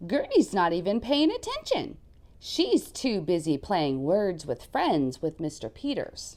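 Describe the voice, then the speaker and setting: A female-sounding put-on character voice sits at a middle pitch. The delivery is fairly slow. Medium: read story. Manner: dramatic, emotional.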